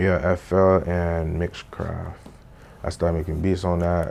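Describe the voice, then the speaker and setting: A very deep, low male voice with a dark, mellow tone, monotone, flat intonation and a fairly slow pace. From Haiti, moved to South Florida at about seven. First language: Haitian Creole. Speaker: rapper and studio engineer. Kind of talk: casual interview. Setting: sit-down interview. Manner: casual slangy delivery.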